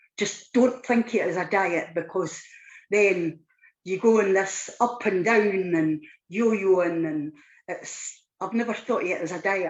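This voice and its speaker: A woman in a Scottish accent, at a fairly slow pace with ordinary pitch variation. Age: 60s. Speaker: weight loss client. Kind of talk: testimony. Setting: live online show.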